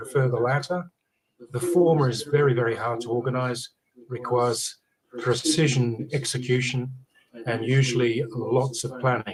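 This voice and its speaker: A man with an Australian accent, somewhat breathy, in fairly even intonation. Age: 60s. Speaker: senate candidate. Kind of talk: panel discussion.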